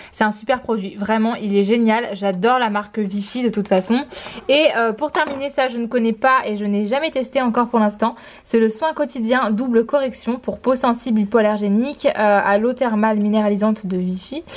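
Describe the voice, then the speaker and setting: A woman with an unremarkable speaking voice talks at a moderate pace, her fairly high pitch showing ordinary variation. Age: 20s. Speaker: vlogger. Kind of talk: talking to her child; casual vlog. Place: home room. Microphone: phone near.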